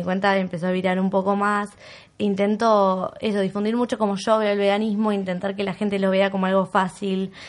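The speech moves at a fairly quick pace with monotone, flat intonation. The background is quiet. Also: woman. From Argentina, Bariloche. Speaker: vegan content creator. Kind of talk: casual chat.

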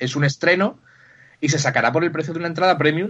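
This man talks with ordinary pitch variation. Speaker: podcast co-host. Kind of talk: casual chat.

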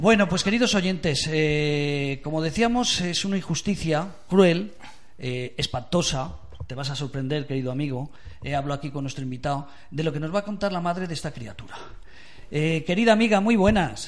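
With a plain, everyday voice, a man speaks at a moderate pace and with lively intonation. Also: fairly high pitch for a man. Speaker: radio host. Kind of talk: casual chat. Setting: studio.

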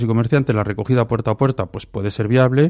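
A man's dark, mellow voice at a medium pitch, with ordinary pitch variation over a quiet background. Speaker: local opposition politician. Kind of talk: radio panel debate.

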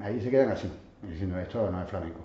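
Speech moves at a very fast pace with ordinary pitch variation. Audible room echo is present. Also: man. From Catalonia, Barcelona, Andalusian parents. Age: 40s. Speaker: flamenco dancer. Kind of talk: casual interview chat.

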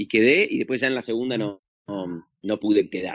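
With an Argentine accent, this man speaks at a fairly slow pace. His pitch is medium. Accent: Rioplatense Argentine Spanish. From Argentina. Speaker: actor and social media comedian. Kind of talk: casual interview chat. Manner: halting, many fillers and repetitions.

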